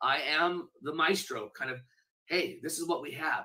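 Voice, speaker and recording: A man speaks in a plain, everyday voice with a fairly high pitch. He keeps a moderate pace. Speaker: charity auctioneer and fundraising speaker. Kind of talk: interview answer about fundraising events.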